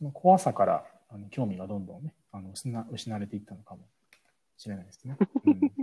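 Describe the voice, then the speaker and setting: Speaking at a fairly quick pace but with long, frequent pauses, a man has a fairly low, somewhat breathy voice with a dark, mellow tone. His loudness swings widely and his intonation is lively. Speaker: podcast host. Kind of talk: casual chat. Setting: remote recording via app. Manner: fast.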